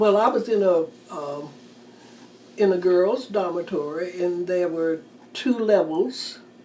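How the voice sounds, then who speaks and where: The speaker has an American accent and ordinary pitch variation. Noticeable background noise runs underneath. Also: woman. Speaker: retired teacher. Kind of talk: oral history interview answer.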